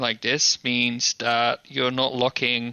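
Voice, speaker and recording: This man's voice sits at a medium pitch. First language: not English. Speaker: podcast co-host. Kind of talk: casual chat.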